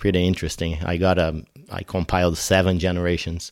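In a very clean recording with a silent background, a man with a Brazilian accent speaks in a very deep, low voice. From Brazil (São Paulo). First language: Portuguese. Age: 40s. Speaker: firefighter. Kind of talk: interview. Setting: in-person at host's home. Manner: halting.

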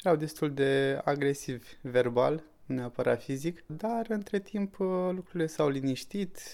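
In a plain, everyday voice, a man speaks at a fairly slow pace, his fairly high pitch showing ordinary variation. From Romania, Suceava. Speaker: local entrepreneur. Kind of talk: interview.

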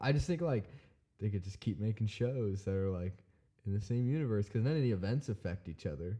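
A man with an American accent, fairly low pitch and a dark, mellow tone, in a very clean recording with a silent background. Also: lively intonation. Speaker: drummer. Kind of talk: casual chat. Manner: loud.

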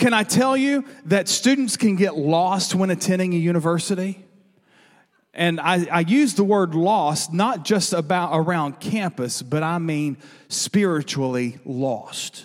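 On a very clean recording with a silent background, a man with a high pitch speaks at a fairly slow pace. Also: lively intonation. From South Arkansas, Norphlet. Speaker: church staff member. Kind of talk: sermon introduction. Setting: church.

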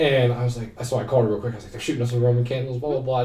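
A man with an American accent at a very fast pace, with ordinary pitch variation, audible room echo and noticeable background noise. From Ohio, Canton. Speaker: university student. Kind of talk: casual chat. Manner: animated.

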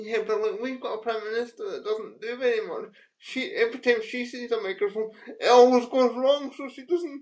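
Speaking at a fairly quick pace, a woman with a high pitch uses lively intonation and big swings in loudness. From UK. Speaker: podcast co-host. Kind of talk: casual chat.

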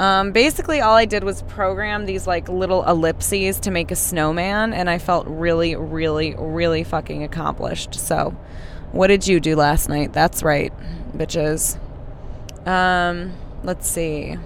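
A woman talks at a fairly slow pace with fairly even intonation. Background noise is noticeable. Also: fairly low pitch for a woman. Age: 20s. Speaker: podcast host. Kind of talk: casual monologue. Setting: in a car.

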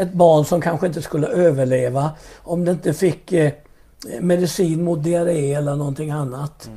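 With a plain, everyday voice, a man talks at a moderate pace, his fairly high pitch held in fairly even intonation. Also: big swings in loudness. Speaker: pastor. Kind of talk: interview about faith and testimony.

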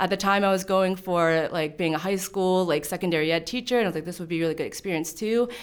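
Heard in a very clean recording with a silent background, a woman speaks at a medium pitch. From Pittsburgh, Pennsylvania. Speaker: church youth leader. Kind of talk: personal faith testimony interview. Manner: halting, many fillers.

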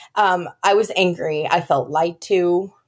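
A woman with an American accent speaks at a very slow pace. Her voice sits fairly low in pitch. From California. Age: 30s. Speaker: donor-conceived advocate. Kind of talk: interview.

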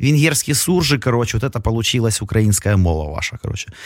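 This man talks at a fairly quick pace with ordinary pitch variation. His voice is somewhat breathy. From Kyiv, Ukraine. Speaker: radio host. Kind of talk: casual chat. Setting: studio.

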